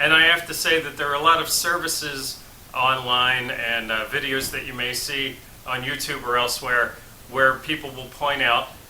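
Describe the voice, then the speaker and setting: Amid noticeable background noise and audible room echo, a man with an American accent speaks at a medium pitch and moderate pace with fairly even intonation. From United States. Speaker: relocation service founder. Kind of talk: talking-head explainer. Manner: hesitant with frequent uh fillers.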